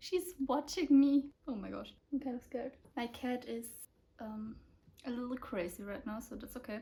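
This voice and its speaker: The tone is dark and mellow. The delivery comes at a fairly slow pace. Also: woman. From Austria. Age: 20s. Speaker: book YouTuber. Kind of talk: casual talk to camera. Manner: excited, gushing.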